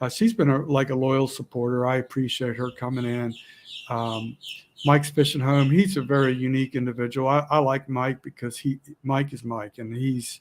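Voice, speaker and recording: A man of medium pitch speaks at a moderate pace with fairly even intonation. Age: 60s. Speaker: outdoors YouTuber. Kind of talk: casual live chat. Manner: halting, repetitive.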